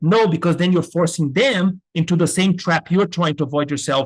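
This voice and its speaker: A man with a slight non-native accent speaks at a moderate pace in a high pitch. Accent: slight foreign accent, can pass as American. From Brazil. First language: Portuguese. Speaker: business school professor. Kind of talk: lecture. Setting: webinar.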